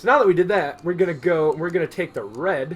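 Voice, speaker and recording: A man with a fairly high pitch speaks at a fairly quick pace, his voice marked by vocal fry. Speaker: digital art tutorial creator. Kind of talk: tutorial. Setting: screen recording at computer. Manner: soft-spoken; trails off at ends of sentences.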